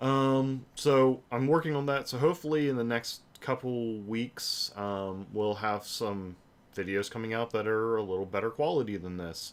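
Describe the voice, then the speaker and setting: A man speaks in a plain, everyday voice at medium pitch, with ordinary pitch variation and a moderate pace. He hardly pauses, and the recording is very clean with a silent background. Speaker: gaming channel host, game and hardware reviewer. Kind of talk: livestream announcement update. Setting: live stream with webcam.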